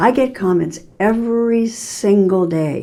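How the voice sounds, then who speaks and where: A woman's voice with audible room echo. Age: 80s+. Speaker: vlogger sharing relationship advice. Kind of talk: casual direct-to-camera vlog. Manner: halting, with self-corrections.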